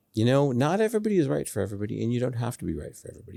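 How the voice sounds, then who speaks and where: There's a dark, mellow tone to this man's voice, and he speaks with a Boston accent. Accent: American (Boston area). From US Northeast (Boston). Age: 60s. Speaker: student mentor. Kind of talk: interview.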